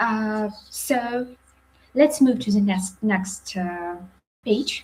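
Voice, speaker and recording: Somewhat breathy, a woman speaks with a Ukrainian accent. Her pace is very slow, with ordinary pitch variation. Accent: non-native English, Ukrainian. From Ukraine, Sumy region. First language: Ukrainian or Russian. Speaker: psychiatrist. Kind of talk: lecture. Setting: live webinar. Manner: halting, many fillers.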